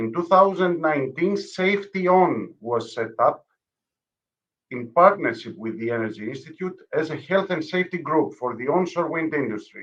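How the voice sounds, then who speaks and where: Using lively intonation and a Greek accent, a man with a fairly high pitch speaks at a moderate pace. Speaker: conference moderator. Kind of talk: speaker introduction. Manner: formal.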